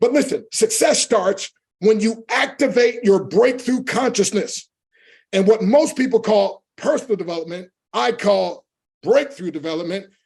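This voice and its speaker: The voice has an animated tone, ordinary pitch variation and a moderate pace. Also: man. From US inner city. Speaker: motivational speaker. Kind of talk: motivational talk.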